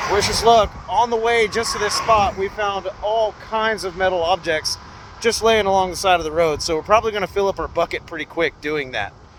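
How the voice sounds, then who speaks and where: A man at a high pitch and fairly quick pace, with ordinary pitch variation amid noticeable background noise. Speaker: magnet fishing vlogger. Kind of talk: casual vlog commentary. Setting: outdoors on a river bridge. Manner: animated.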